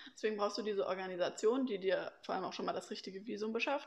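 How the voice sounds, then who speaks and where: This is a normal speaking voice with ordinary pitch variation. The background is quiet. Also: woman. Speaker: former au pair. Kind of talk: casual interview.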